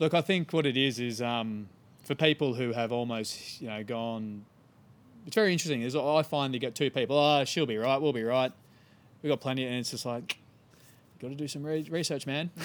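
With an Australian accent, a man talks at a fairly quick pace, his medium pitch showing ordinary variation. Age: 30s. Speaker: environmental campaigner. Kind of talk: casual interview.

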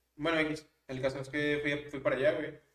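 A man with monotone, flat intonation. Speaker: podcast co-host. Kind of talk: casual chat.

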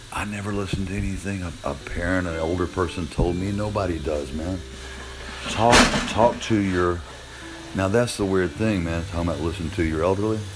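Someone speaks at a fairly quick pace with an American accent. The room echo is audible, and background noise is noticeable. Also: man, very deep, low pitch for a man, fairly even intonation. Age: 60s. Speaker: podcaster. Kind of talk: casual monologue.

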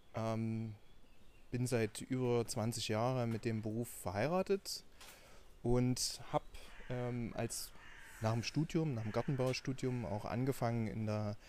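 This man speaks at a fairly slow pace in a Saxon accent, his tone dark and mellow. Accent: Saxon, Dresden variety. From Saxony, Dresden. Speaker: scientist and startup founder. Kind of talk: podcast interview.

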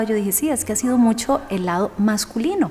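A woman speaks at a moderate pace with a fairly high pitch and lively intonation. Noticeable background noise runs underneath. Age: 40s. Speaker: yoga and meditation teacher. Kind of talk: interview. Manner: warm, effusive.

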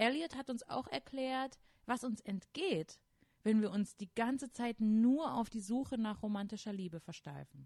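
A woman speaks at a fairly slow pace in a fairly high, somewhat breathy voice. Her tone is animated and her intonation lively. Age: 30s. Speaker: podcast co-host. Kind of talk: casual chat; scripted narration.

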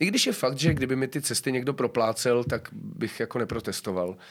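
On a very clean recording with a silent background, a man talks at a fairly quick pace. His voice is medium in pitch, with ordinary pitch variation. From Czechia, South Moravia near Brno. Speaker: actor. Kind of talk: casual interview chat. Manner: halting, many fillers.

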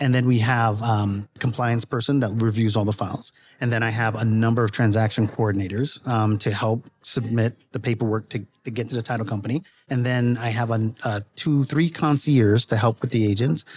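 In an American accent, an ordinary speaking voice moves at a fairly quick pace with fairly even intonation. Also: man, medium pitch for a man. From US East Coast, Brooklyn, New York. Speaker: real estate broker. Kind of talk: casual interview. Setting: live at an industry summit.

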